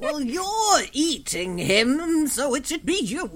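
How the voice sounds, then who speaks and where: A put-on character voice sits at a high pitch with very wide pitch swings. The pace is fairly slow, with light background noise. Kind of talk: old-timer character voice. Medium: actual play. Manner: grumpy, dry.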